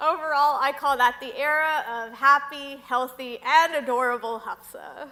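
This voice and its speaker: High-pitched, raised and projected woman's voice in an American accent, with lively intonation. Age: 20s. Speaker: public speaker on mental illness. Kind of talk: talk to an audience.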